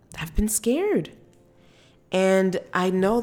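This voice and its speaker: The woman speaks with a fairly low voice. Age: 30s. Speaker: solo podcast host. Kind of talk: personal monologue. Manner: casual, conversational.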